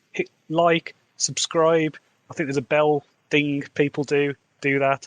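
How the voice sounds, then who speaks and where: With a Midlands accent, a man speaks at a fairly high pitch in a dry, close sound with no echo. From English Midlands, Wolverhampton. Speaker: fantasy author, podcaster. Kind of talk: podcast diary monologue.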